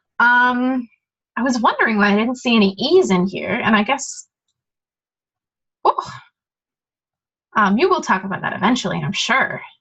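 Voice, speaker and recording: A woman's high-pitched voice with lively intonation, a moderate pace and long, frequent pauses. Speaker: study group tutor. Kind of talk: tutorial. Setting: recorded study session. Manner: casual, many filler words.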